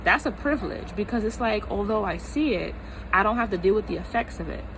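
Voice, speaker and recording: A woman speaks in an animated tone with an American accent. Noticeable background noise is present. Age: 20s. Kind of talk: casual talk to camera. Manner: animated, emphatic.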